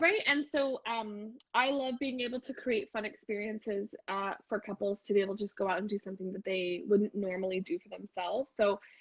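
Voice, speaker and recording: This woman speaks with a Canadian accent at a fairly quick pace and a fairly high pitch, with ordinary pitch variation and hardly any pauses. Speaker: wedding and couples photographer. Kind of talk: casual chat. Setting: Instagram live video. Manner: loud.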